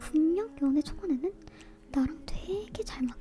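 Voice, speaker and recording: Soft-spoken, a woman talks at a fairly slow pace in a high voice. Her intonation is lively. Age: 20s. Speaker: YouTuber. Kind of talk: casual talk to camera about relationships, ASMR-style chat. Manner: soft, intimate, chatty.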